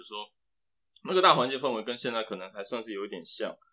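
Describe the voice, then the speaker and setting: Medium pitch and a bright, sharp tone in a man's speech. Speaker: applied scientist, former semiconductor engineer. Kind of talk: casual interview.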